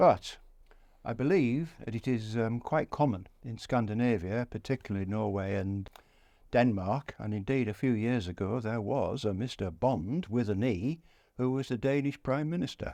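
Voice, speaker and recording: A man with a Yorkshire accent speaks at a moderate pace in a dark, mellow tone. The background is quiet. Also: medium pitch for a man, ordinary pitch variation. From northern England (East Yorkshire). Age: 80s+. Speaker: war veteran. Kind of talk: interview. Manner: halting.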